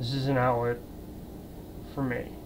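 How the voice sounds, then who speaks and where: A man speaks at a medium pitch. Audible room echo and noticeable background noise fill the clip. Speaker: vlogger. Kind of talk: casual vlog monologue. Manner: halting, hesitant.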